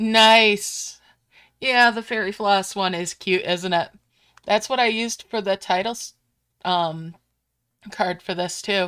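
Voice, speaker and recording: On a very clean recording with a silent background, a woman with an American accent and a medium pitch speaks in a bright, sharp, relaxed tone with fairly even intonation at a fairly slow pace, leaving long, frequent pauses. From Upstate New York. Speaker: gaming streamer. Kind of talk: live gameplay stream chat. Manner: casual, relaxed.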